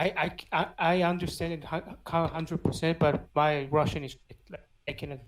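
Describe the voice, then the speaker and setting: Speaking in a Georgian accent at a moderate pace, a woman uses a fairly low pitch and monotone, flat intonation, with big swings in loudness. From Georgia (country). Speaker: podcast guest. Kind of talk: casual chat.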